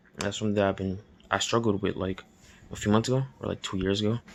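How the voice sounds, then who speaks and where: A man is speaking. His tone is relaxed. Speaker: vlogger sharing life advice. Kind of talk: casual late-night monologue. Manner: relaxed, hesitant with fillers.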